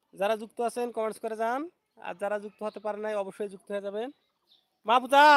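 A man with a high pitch speaks in fairly even intonation with big swings in loudness, his sound dry and close with no echo. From Bangladesh, Rangpur. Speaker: YouTuber. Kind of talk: live stream chat. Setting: outdoors, garden. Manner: repetitive.

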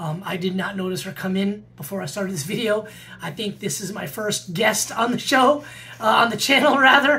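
A man projects his voice loudly. His intonation is lively. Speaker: metal vinyl collector vlogger. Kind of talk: casual vlog chat. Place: home room. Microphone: webcam.

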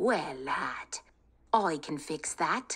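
A female-sounding, put-on character voice. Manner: greedy, jovial.

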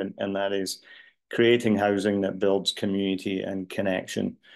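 With silence behind him, a man talks in a fairly low register. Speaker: housing developer; panelist. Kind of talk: webinar presentation. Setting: video call. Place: home room. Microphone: webcam.

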